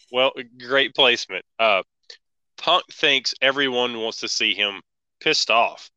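In a dry, close sound with no echo, a man speaks very slowly at a medium pitch with ordinary pitch variation and a bright, sharp tone. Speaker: wrestling podcast host. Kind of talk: casual podcast review chat.

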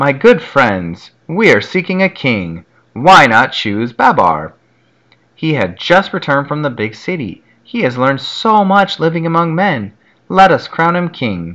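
A man puts on a shaky character voice, fairly high in pitch. He moves at a moderate pace with very wide pitch swings.

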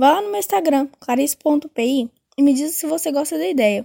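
Recorded in a dry, close sound with no echo, a woman with a high pitch and a dark, mellow tone speaks at a moderate pace with very wide pitch swings. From Brazil, Minas Gerais (Belo Horizonte). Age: 20s. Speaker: podcast host, journalism student. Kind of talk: casual monologue.

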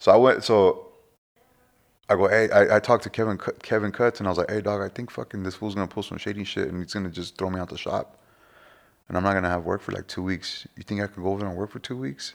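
On a very clean recording with a silent background, a man with a fairly low voice talks at a very fast pace, his intonation fairly even and his loudness swinging widely. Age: 40s. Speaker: barber. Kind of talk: casual chat. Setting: home.

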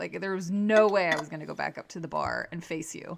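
A woman speaks with an unremarkable speaking voice. Her pace is fairly quick and her pitch variation ordinary. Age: 40s. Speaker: guest, host's wife. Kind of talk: casual chat, interview with her husband.

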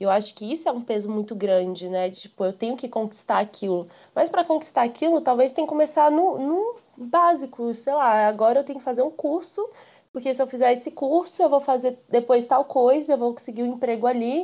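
This woman speaks at a fairly quick pace with lively intonation. Her pitch is high. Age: 20s. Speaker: podcast guest. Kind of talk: casual chat.

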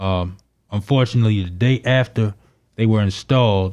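Over a very clean, silent background, a man speaks in an American accent at a fairly low pitch with a dark, mellow tone. His pace is moderate and his pitch varies in an ordinary way. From Baltimore, Maryland. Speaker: artist and science teacher. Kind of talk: interview.

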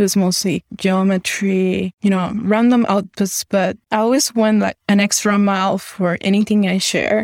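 A woman speaks at a medium pitch and a moderate pace in a flat monotone, with very even loudness and hardly any pauses. The sound is dry and close with no echo, in a very clean recording with a silent background. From Panama. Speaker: generative artist. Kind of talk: interview.

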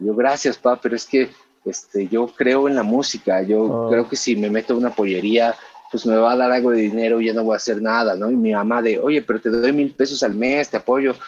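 With noticeable noise in the background, a man talks in a fairly even intonation. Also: medium pitch for a man, fairly quick pace. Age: 30s. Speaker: musician turned music distribution executive. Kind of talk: podcast interview.

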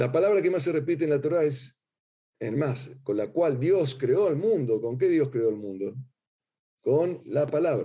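Audible room echo surrounds a man whose dark, mellow tone is somewhat breathy, with lively intonation. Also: fairly slow pace. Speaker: rabbi teaching a class. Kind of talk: lecture. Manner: hesitant, many fillers and repetitions.

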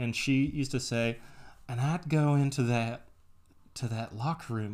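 Over a very clean recording with a silent background, the voice carries a slight Texas accent, fairly even intonation and a fairly slow pace. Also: man. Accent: slight Texas accent, pin-pen merger. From US South, Texas. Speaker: podcast host reading a book aloud to partner. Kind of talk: casual chat, book recap. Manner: casual, joking.

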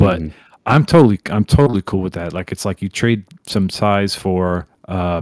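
A man with an American accent and an ordinary speaking voice, fairly low in pitch with ordinary pitch variation, in a dry, close sound with no echo. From New York. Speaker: music remixer. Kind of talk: casual chat.

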